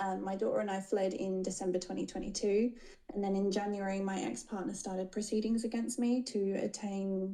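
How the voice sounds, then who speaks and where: Over noticeable background noise, a woman speaks with an Australian accent. Her pitch is medium and her pace fairly quick. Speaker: caller seeking legal advice. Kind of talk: live Q&A call.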